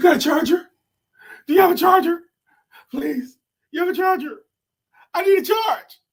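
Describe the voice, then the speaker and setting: Delivered at a moderate pace, this put-on character voice sits at an extremely high pitch and is broken by long, frequent pauses. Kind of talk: comedic impression. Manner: desperate, begging.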